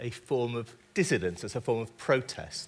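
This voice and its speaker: With a British accent, a man speaks at a fairly slow pace and a medium pitch. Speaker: writer and interviewer. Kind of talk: on-stage interview. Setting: stage with audience.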